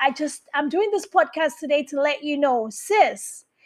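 With lively intonation and a high pitch, a woman speaks over a quiet background. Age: 40s. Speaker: podcast host. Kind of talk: motivational monologue.

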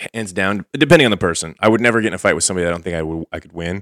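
A man talks at a very fast pace in a playful tone with ordinary pitch variation, in a very clean recording with a silent background and a dry, close sound with no echo. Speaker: podcast host. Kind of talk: casual banter, comedic chat. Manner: joking, playful.

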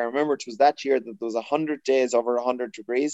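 The pace is very fast. The sound is dry and close, with no echo. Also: man. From Ireland, County Roscommon. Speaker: accountant, club member. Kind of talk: casual chat.

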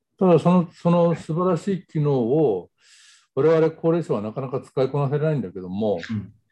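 A man's fairly high voice with a dark, mellow tone, lively intonation and a moderate pace over a quiet background. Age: 70s. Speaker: panel participant, business member. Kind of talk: panel talk.

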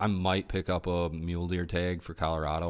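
Speaking with an American accent, the man has a very deep, low pitch. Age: 30s. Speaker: hunting podcast co-host. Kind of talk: casual chat.

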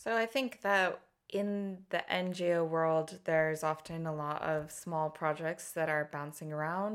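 In a normal speaking voice, a woman with an American accent speaks fairly slowly at a fairly low pitch with ordinary pitch variation, on a very clean recording with a silent background. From US, Colorado. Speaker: freelance fundraising consultant. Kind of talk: interview.

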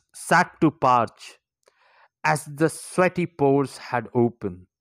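A man speaks at a medium pitch in an Indian accent, very slowly, with lively intonation and a warm, dramatic tone. The recording is very clean with a silent background, and the sound is dry and close with no echo. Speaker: poet and podcaster. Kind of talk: poetry performance, read aloud with an intro and outro. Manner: slow, measured, dramatic and emotive delivery; earnest, warm, encouraging.

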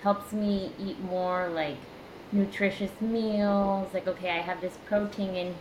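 Amid audible room echo and noticeable background noise, a woman with an American accent speaks at a fairly slow pace. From US Midwest, Indiana. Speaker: speech language pathologist, coaching client. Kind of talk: casual interview. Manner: hesitant, many fillers.

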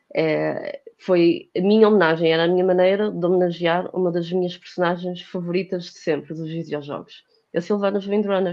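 A woman's fairly low, monotone, flat delivery at a moderate pace, with hardly any pauses and big swings in loudness. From Portugal, Porto. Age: 30s. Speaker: cosplayer and fashion designer. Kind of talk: casual chat.

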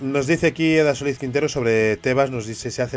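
A man rattles off his words at a very fast pace while his pitch shifts in an ordinary way. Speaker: radio football show host. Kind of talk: sports talk radio.

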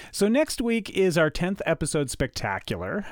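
A Canadian-accented man at a moderate pace, with very wide pitch swings, on a very clean recording with a silent background. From Canada, Ottawa Valley, Ontario. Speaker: podcast host, film enthusiast. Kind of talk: scripted narration.

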